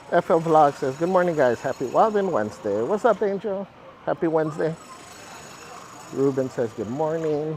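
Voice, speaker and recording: A man speaks at a moderate pace with lively intonation and fairly high pitch, leaving long, frequent pauses. Noticeable background noise runs underneath. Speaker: live streamer. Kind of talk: live stream chat while walking a theme park. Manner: upbeat, animated.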